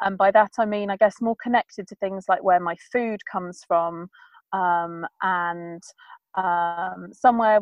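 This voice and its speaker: The speaker has an English accent and fairly even intonation. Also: woman. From England. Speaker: sustainable living blogger. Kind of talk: interview. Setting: remote call. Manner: fast.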